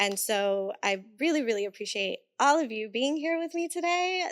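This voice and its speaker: A woman with a Puerto Rican accent at a moderate pace, her pitch swinging very widely. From Puerto Rico. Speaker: podcast host. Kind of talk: casual chat.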